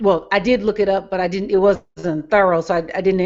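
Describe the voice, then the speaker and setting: A plain, everyday voice from a woman, medium in pitch with ordinary pitch variation. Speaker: part-time political fundraiser caller. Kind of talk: conversational talk in a live group discussion.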